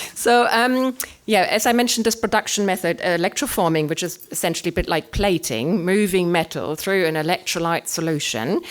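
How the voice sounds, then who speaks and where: In a German accent, a woman talks at a fairly quick pace with hardly any pauses, her medium-pitched voice full of lively intonation. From Germany. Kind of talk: artist talk presentation. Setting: room with live audience. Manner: hesitant, many fillers.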